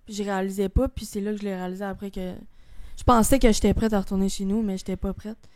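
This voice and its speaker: Very fast and monotone, a woman speaks with flat intonation at a medium pitch. The recording is very clean, with a silent background. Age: 20s. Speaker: guest sharing suicide attempt story. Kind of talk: testimony. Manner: casual.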